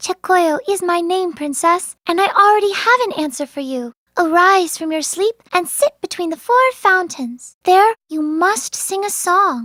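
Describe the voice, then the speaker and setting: This is a put-on character voice. It sits at an extremely high pitch. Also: moderate pace, hardly any pauses. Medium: audio drama. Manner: gentle, soothing.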